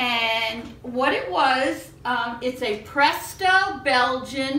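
A woman with a high pitch talks, and room echo is audible around her. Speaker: home baking host. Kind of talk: casual cooking show chat. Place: kitchen. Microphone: camera far.

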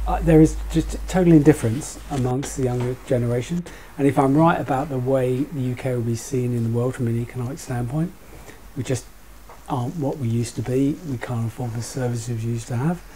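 Light background noise sits behind a man with a British accent. He talks at a fairly quick pace with ordinary pitch variation. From UK. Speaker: currency trader; panel discussant. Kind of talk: roundtable discussion. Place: shop.

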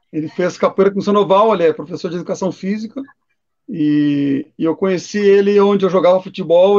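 Over a quiet background, a man with a high pitch talks at a fairly quick pace, his pitch varying in an ordinary way. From Rio Grande do Sul, Brazil. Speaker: capoeira master and collector; interviewee. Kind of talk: casual chat. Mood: relaxed, nostalgic. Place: home room. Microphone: video call.

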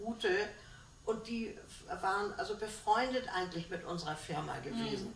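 Pausing long and often, a woman speaks at a moderate pace with lively intonation, amid audible room echo and light background noise. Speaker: contemporary witness, former shipping secretary. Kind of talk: interview answer. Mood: cheerful, smiling reminiscence. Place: home room. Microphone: camera far.

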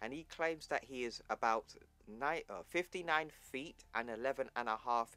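Someone is reading aloud. It is done in a natural voice.

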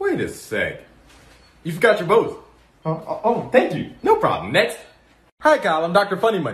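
There is audible room echo around this man's voice. He speaks at a moderate pace. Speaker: comedy sketch creator playing several characters. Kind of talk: comedy skit dialogue. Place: home room. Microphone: phone near.

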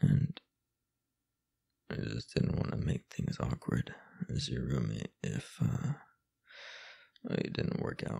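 A man's put-on character voice, extremely low and dark and mellow in tone, with vocal fry, a slightly husky edge, fairly even intonation, a slow pace and long, frequent pauses.

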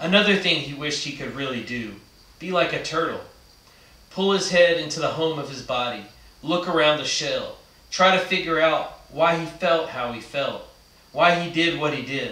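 A man speaks at a moderate pace in a high pitch, with big swings in loudness. Room echo is audible. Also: ordinary pitch variation. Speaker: reader of a book. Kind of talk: read-aloud storytelling. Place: studio.

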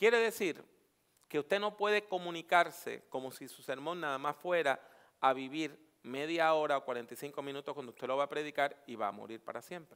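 Against a quiet background, a man with a fairly high pitch talks at a moderate pace in an animated tone, his intonation lively and his loudness swinging widely. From Puerto Rico. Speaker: preacher and homiletics teacher; preacher, homiletics teacher. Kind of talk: workshop lecture. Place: hall. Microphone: headset.

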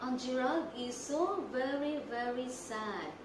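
Against noticeable background noise, a woman with a high pitch speaks at a very slow pace. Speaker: preschool teacher. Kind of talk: tutorial. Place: classroom. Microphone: phone near.

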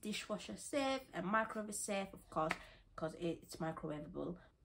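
A woman speaks at a moderate pace with vocal fry. Noticeable background noise sits behind her. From West Yorkshire, England. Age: young. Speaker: student haul vlogger. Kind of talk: casual talk to camera, shopping haul. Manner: chatty, excitable. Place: home room. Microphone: phone near.

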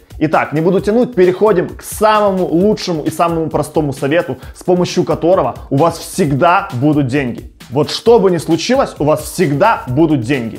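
Faint background music accompanies a man who speaks at a fairly quick clip. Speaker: video blogger. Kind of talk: casual advice vlog. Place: home room. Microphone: lapel.

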